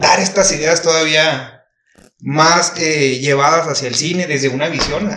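Speaking at a fairly slow pace with a Mexican accent, a man uses a fairly high pitch and fairly even intonation amid audible room echo. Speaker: podcast guest. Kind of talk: casual chat.

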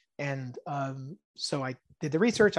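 Over a quiet background, a man talks with a General American accent in a dry, close sound with no echo. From California, US (born in Israel). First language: Hebrew. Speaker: indie tabletop game designer. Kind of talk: podcast interview.

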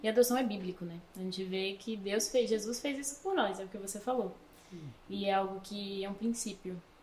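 Over noticeable background noise, a woman talks at a fairly quick pace with big swings in loudness. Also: medium pitch for a woman, ordinary pitch variation. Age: 20s. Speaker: podcast host and missions school leader. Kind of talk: casual interview.

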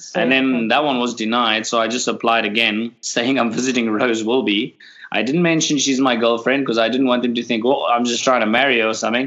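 A man's medium-pitched, bright and sharp voice at a very fast clip, with hardly any pauses, fairly even intonation and very even loudness. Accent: South African. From South Africa, Cape Town. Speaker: boat skipper. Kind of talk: casual chat.

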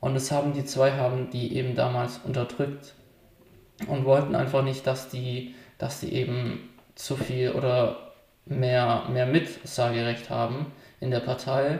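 The room echo is audible as a man talks at a medium pitch. His pace is fairly slow and his intonation monotone and flat. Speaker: podcast co-host. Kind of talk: casual chat. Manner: hesitant, lots of fillers.

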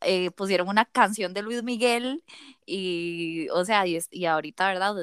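Recorded with a dry, close sound with no echo, a woman with a Costa Rican accent speaks at a medium pitch with ordinary pitch variation. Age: 30s. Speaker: podcast co-host. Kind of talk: casual chat.

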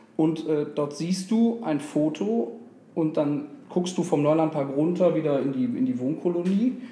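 At a moderate pace, a man with a fairly high pitch and lively intonation talks in a space with audible room echo. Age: 30s. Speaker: football fan club board member. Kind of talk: interview.

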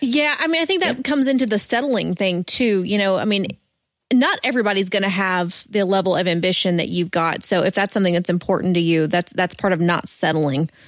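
A woman speaks in an unremarkable speaking voice at a medium pitch and a fairly quick pace. Her intonation is lively and her loudness very even. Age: 20s. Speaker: podcast co-host. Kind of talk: casual chat.

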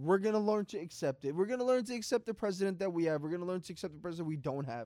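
On a very clean recording with a silent background, a man with a New York accent speaks with lively intonation in a dry, close sound with no echo. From New York City, Queens. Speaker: podcast co-host. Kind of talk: casual chat.

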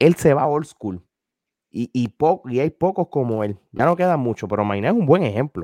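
At a moderate pace, a man with a dark, mellow tone and a medium pitch makes very wide pitch swings, his dry, close sound carrying no echo on a very clean recording with a silent background. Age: 40s. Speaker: wrestling media commentator. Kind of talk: casual chat. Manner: halting, repeats words.

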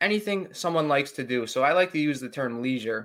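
An unremarkable speaking voice from a man, fairly high-pitched and fairly quick, with lively intonation. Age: 20s. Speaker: recreational therapist. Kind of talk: interview.

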